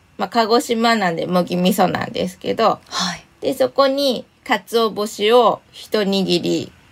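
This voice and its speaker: Using an unremarkable speaking voice, a woman speaks at fairly high pitch and a fairly slow pace with lively intonation. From Shiga, Kansai. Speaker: illustrated essayist. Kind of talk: casual interview. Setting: remote recording.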